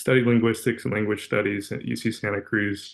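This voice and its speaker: This man speaks with a West Coast accent at a fairly quick pace. His pitch is fairly low, and the background is quiet. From Los Angeles, California (Van Nuys). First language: Russian. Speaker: corporate pilot. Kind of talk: webinar career talk. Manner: casual, many fillers.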